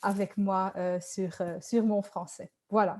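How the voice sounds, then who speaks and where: A woman with a Dutch accent, a medium pitch, a dark, mellow tone, monotone, flat intonation and a very slow pace. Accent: Dutch-speaking accent in French. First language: Dutch (speaking French). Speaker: sales trainer and coach. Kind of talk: webinar presentation. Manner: hesitant, many fillers.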